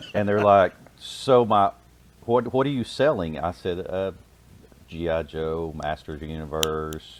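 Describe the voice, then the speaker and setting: The man's voice is very deep and low, with ordinary pitch variation. He talks at a very slow pace, leaving long, frequent pauses. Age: 40s. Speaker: police officer and toy collector. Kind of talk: casual chat.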